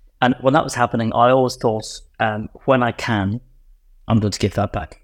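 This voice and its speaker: On a very clean recording with a silent background, a man with a Northern Irish accent speaks with fairly even intonation. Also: dry, close sound with no echo. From Northern Ireland, Enniskillen. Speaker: infrastructure investment executive. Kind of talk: interview.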